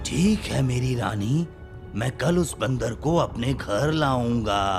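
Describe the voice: A man does a cartoonish character voice at a medium pitch and a fairly slow pace. Clear music plays in the background.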